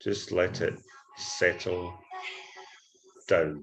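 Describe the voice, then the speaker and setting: A man speaks with a Scottish accent. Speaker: forex trading educator. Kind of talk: screen-share trading tutorial.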